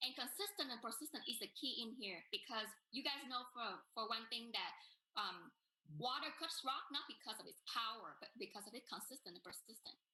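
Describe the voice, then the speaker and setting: At a fairly quick pace and in a Vietnamese accent, the speaker's bright, sharp tone carries lively intonation and big swings in loudness. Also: woman, high pitch for a woman. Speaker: business networker. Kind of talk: testimony.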